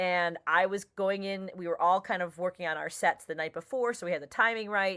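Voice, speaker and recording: On a very clean recording with a silent background, a woman with an American accent speaks at a medium pitch and a fairly quick pace, her tone bright and sharp and her pitch varying in an ordinary way. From Chicago. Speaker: stand-up comedian. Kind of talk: casual interview chat.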